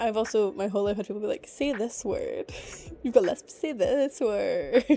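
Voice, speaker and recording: Here is a woman with a Scottish accent at a moderate pace. Her loudness swings widely. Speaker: VTuber streamer. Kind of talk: casual live-stream chat. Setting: home streaming setup.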